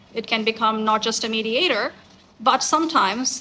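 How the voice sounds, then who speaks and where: A woman with a Bengali accent speaks at a fairly high pitch. Noticeable background noise runs behind her. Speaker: academic researcher. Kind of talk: conference talk. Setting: conference. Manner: formal.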